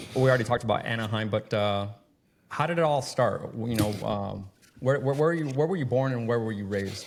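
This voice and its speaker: At a fairly quick pace, a man speaks in a normal speaking voice of medium pitch with ordinary pitch variation. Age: 40s. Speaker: podcast host. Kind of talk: podcast interview. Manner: casual, profane.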